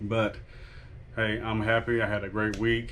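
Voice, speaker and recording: Quiet and fairly slow, a man speaks at a fairly low pitch with monotone, flat intonation, and the room echo is audible. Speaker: online reseller vlogger. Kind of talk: casual vlog. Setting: at home. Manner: quiet, talking low.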